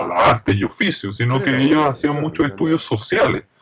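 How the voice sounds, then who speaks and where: Noticeable noise sits in the background. Over it, the speaker moves at a moderate pace with lively intonation. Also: man. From Japan, Kitakyushu. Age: 50s. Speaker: design company executive. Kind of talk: interview.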